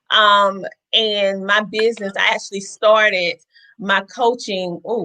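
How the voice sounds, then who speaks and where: A woman's voice with a slight Southern US accent. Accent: slight Southern twang. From US South, South Carolina (Bennettsville). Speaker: life coach. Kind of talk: casual chat.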